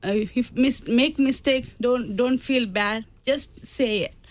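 A woman with an Indian accent talks at a very slow pace, keeping her intonation fairly even. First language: Indian language. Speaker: immigrant, charity participant. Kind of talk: radio interview. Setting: studio. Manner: halting, non-native English.

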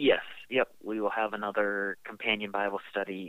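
A man's fairly low voice at a moderate pace. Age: 20s. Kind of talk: casual interview. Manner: hesitant with frequent fillers.

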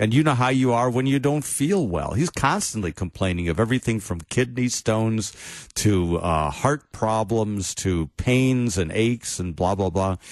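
A man with an unremarkable speaking voice at a medium pitch talks at a moderate pace with lively intonation and hardly any pauses over a quiet background. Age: 60s. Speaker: pastor. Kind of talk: casual chat.

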